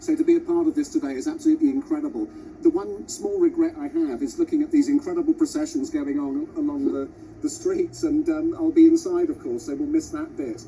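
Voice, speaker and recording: Through noticeable background noise, a man talks very fast at an extremely high pitch, his intonation monotone and flat. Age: 60s. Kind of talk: TV interview.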